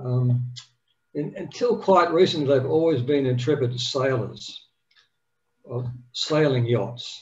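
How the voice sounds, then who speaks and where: With an Australian accent, a man talks at a very slow pace, leaving long, frequent pauses and using ordinary pitch variation. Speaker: yacht club meeting chair. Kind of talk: meeting announcements and introduction. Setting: video call. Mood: warm, friendly. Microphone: video call.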